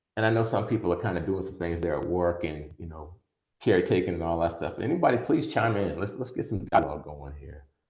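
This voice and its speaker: Audible room echo surrounds a man whose very deep, low voice is somewhat breathy, with lively intonation, big swings in loudness and a fairly quick pace. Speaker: attorney and workshop presenter. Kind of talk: online workshop lecture. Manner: fast.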